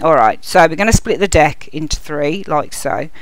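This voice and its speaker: At a moderate pace, a woman with a fairly low pitch speaks in a Birmingham accent against noticeable background noise. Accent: Birmingham (Brummie) English. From Birmingham, England. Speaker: tarot reader. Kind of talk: tarot reading video.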